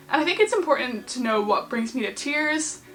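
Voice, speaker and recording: Against noticeable background noise, a woman with a high pitch talks at a fairly quick pace. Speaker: YouTuber. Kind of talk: casual vlog talk. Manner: fast.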